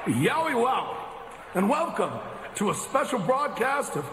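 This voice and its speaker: A man with an extremely high pitch and very wide pitch swings speaks at a fairly slow pace amid noticeable background noise. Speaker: wrestling radio co-host. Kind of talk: casual chat. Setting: studio. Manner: relaxed, conversational.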